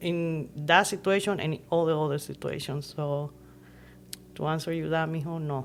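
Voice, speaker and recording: A woman's very deep, low pitch in a Nicaraguan accent, at a moderate pace with fairly even intonation. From Nicaragua, Masaya. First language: Spanish. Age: 50s. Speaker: podcast guest. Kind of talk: casual chat.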